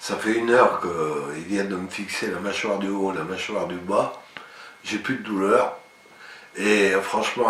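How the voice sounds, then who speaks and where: Fairly even intonation amid noticeable background noise. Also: man. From France. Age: 60s. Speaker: dental patient. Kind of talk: patient testimonial.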